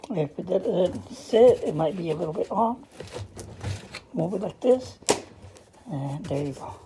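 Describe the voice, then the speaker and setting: Over noticeable background noise, a woman speaks fairly slowly with long, frequent pauses, very wide pitch swings and big swings in loudness. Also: medium pitch for a woman. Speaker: appliance repair technician. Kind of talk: tutorial. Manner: casual.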